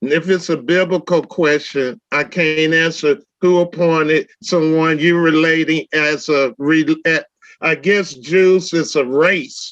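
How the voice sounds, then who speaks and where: Very slowly, a man speaks at a fairly high pitch, with fairly even intonation and very even loudness. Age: 60s. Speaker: debate panelist. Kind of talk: heated debate.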